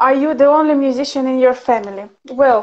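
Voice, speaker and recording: A woman with a Ukrainian accent speaks at a high pitch. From Ukraine. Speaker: professional violinist and teacher; interviewer, guest. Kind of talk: casual livestream interview. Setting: video call livestream. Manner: animated, laughs often. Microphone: video call.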